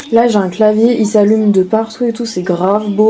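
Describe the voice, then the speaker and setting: A woman speaks at a moderate pace in a medium pitch with ordinary pitch variation, and noticeable background noise can be heard. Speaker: beauty vlogger. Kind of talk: casual vlog. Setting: hotel room. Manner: soft-spoken; casual, filler-heavy.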